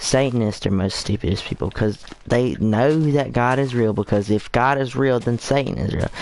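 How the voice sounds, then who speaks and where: A man's medium-pitched voice with ordinary pitch variation, at a moderate pace with hardly any pauses, over noticeable background noise. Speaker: gaming livestreamer. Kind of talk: casual livestream chat. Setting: livestream. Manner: halting, many fillers.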